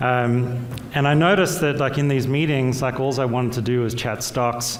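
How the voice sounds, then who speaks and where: A man at medium pitch speaks at a moderate pace with fairly even intonation and very even loudness. Noticeable background noise and audible room echo fill the recording. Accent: Australian. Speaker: fund manager. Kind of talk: panel discussion.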